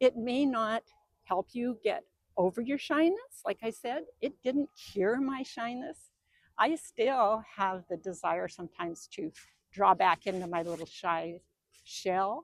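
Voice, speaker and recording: With very wide pitch swings, a woman talks at a fairly slow pace in a dry, close recording with no echo. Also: fairly high pitch for a woman. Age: 70s. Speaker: lifestyle video creator. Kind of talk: casual advice talk to camera.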